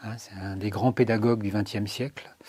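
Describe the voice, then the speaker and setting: A man with a plain, everyday voice, fairly low pitch and fairly even intonation. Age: 60s. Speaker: retired special education teacher. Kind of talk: interview testimony.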